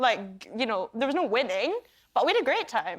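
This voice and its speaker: A woman speaks with a Scottish accent in an upbeat tone. She keeps a moderate pace. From Scotland. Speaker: actress. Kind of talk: talk show guest interview answer. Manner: chatty, upbeat.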